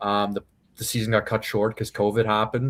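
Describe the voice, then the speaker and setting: In a Maritime Canadian accent, a man talks with monotone, flat intonation at a fairly low pitch. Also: very clean recording, silent background. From Canada, Prince Edward Island. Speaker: professional MMA fighter. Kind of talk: casual interview. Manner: relaxed, casual.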